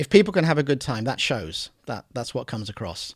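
The speaker is a man with a somewhat breathy voice. He moves along at a fairly quick pace. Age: 50s. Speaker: adult film performer and producer. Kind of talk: casual interview. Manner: hesitant, many fillers.

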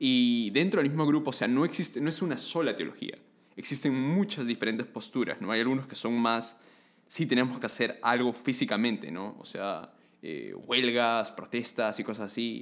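Speaking at a moderate pace, a man uses an ordinary speaking voice. His pitch is medium, with ordinary variation. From Peru. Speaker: theology student. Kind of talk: casual chat.

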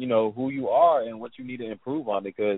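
This is a man with a normal speaking voice. His medium pitch shows ordinary variation. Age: 20s. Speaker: trader and coach. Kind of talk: interview.

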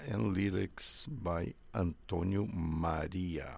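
A man with a Portuguese accent, a very deep, low voice and vocal fry. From Brazil. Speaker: radio host. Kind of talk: radio interview.

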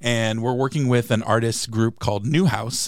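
In a very clean recording with a silent background, a man with an American accent talks at a moderate pace in an unremarkable speaking voice. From San Diego, California. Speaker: city public arts program manager. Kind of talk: casual interview. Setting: studio.

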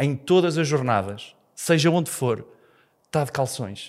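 A man speaks in an animated tone with lively intonation and a fairly high pitch. The recording is very clean, with a silent background. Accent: European Portuguese. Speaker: comedian. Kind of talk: casual chat.

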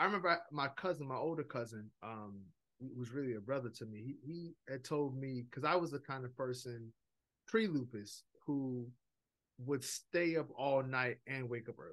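With a New York accent, a man speaks at a moderate pace and medium pitch, with ordinary pitch variation and big swings in loudness. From New York (Brooklyn), Jamaican heritage. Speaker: minister and seminary director. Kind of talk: casual interview chat.

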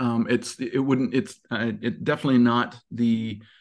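A man with an American accent. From Montana, US. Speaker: tech recruiter. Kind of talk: interview conversation. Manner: animated; many fillers.

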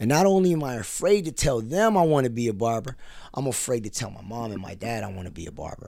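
In an American accent, a man with a dark, mellow tone at medium pitch talks at a very fast pace, with very wide pitch swings, big swings in loudness and audible room echo. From US, Filipino American family. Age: 30s. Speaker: barber and entrepreneur. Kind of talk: casual interview. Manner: animated storytelling.

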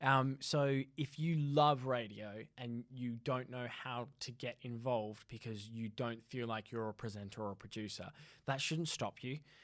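The delivery comes at a fairly slow pace with fairly even intonation. The speaker has an Australian accent. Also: man, medium pitch for a man, hardly any pauses. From Australia (Perth). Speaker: radio producer. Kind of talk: interview. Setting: studio.

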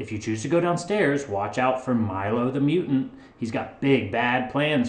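The intonation rises and falls with lots of life. It is an unforced reading voice.

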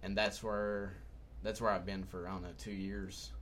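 Lively intonation runs through speech kept at a moderate pace. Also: man. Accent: Southern US. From Humboldt, Tennessee. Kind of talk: casual chat.

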